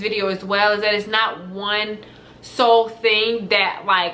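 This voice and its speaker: Intonation stays fairly even while noticeable background noise sits behind the voice. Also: woman. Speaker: lifestyle vlogger. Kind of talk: casual talk to camera. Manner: fast.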